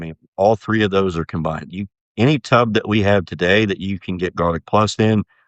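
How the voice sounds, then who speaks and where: Talking at a fairly quick pace with an American accent, a man with a fairly low pitch shows ordinary pitch variation. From US Midwest, southern Ohio. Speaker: livestock nutrition scientist. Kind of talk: podcast interview. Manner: halting, many fillers.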